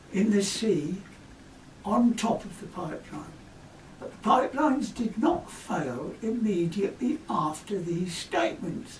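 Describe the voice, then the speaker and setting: Noticeable background noise runs beneath speech at a fairly slow pace. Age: 80s+. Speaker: corrosion engineer. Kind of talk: scripted narration.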